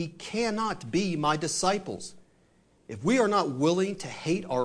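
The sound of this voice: Lively intonation carried by an unforced reading voice.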